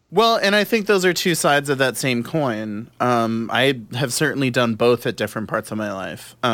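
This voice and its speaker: A man speaks in a normal speaking voice at a medium pitch, moderate in pace with lively intonation and hardly any pauses. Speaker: podcast host. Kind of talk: casual chat.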